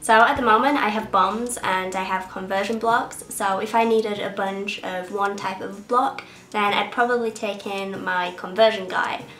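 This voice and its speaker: With an English accent, a woman speaks at medium pitch and fairly even intonation while music plays in the background and the room adds audible echo. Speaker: beauty YouTuber. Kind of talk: casual vlog. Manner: sniffling.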